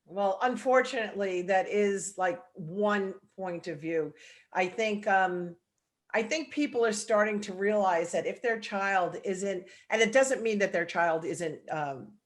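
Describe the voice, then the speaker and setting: A woman with a New York accent speaks at a medium pitch with ordinary pitch variation against a quiet background. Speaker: salon owner and hair educator. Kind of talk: video call interview. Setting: video call.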